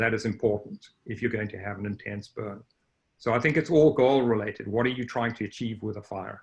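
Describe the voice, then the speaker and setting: A man with a Southern African accent talks at a fairly quick pace. His medium-pitched voice is somewhat breathy. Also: ordinary pitch variation. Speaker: range scientist. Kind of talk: panel discussion.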